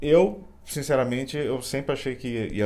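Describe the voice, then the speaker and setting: Heard with audible room echo, a man talks in a São Paulo accent with a dark, mellow tone. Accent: Campinas. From Brazil, Campinas. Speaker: co-host, husband. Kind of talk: casual chat to camera. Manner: halting.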